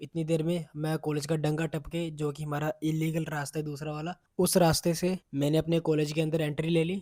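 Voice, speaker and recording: This man talks at a moderate pace with a monotone, flat delivery and a fairly high pitch, recorded dry and close with no echo. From Jammu region, India. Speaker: college student vlogger. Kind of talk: vlog voice-over narration; casual vlog talk.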